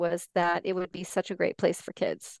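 A woman with a General American accent speaks in an ordinary speaking voice at medium pitch and a moderate pace. The sound is dry and close with no echo, over a quiet background. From US, Colorado (Four Corners area). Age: 40s. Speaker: life coach and writer. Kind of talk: casual interview.

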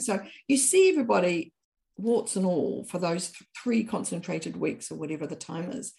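With a New Zealand accent, a woman talks at a moderate pace using lively intonation and vocal fry. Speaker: author and anthropologist. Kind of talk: casual interview chat.

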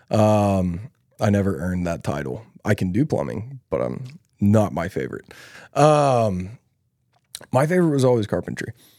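Speaking at a moderate pace with long, frequent pauses, a man with a Southern US accent uses very wide pitch swings and a dark, mellow tone on a very clean recording with a silent background. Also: fairly low pitch for a man. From US South (Louisiana, Alabama, Texas). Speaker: podcast host, online business coach. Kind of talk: casual chat.

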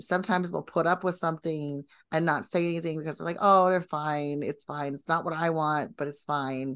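A woman talks with an ordinary speaking voice at a fairly low pitch. The background is quiet. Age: 40s. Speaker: business coach. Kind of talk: casual chat.

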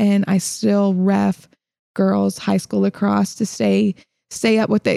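With a slight Southern US accent, a woman speaks at a fairly slow pace. The sound is dry and close with no echo, in a very clean recording with a silent background. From Illinois and South Carolina. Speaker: podcast host, fitness coach. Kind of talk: casual conversational podcast.

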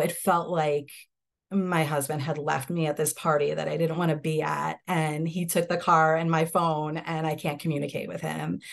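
With an American accent, a woman talks at a moderate pace in a very deep, low voice with vocal fry and monotone, flat intonation against a quiet background. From upstate New York, Hudson Valley. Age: 30s. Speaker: law student, widow. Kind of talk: personal testimony in interview.

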